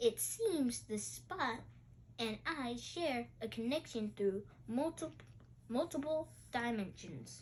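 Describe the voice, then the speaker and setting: A woman uses a put-on character voice with a fairly high pitch. She talks fairly slowly over clear background noise. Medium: read story.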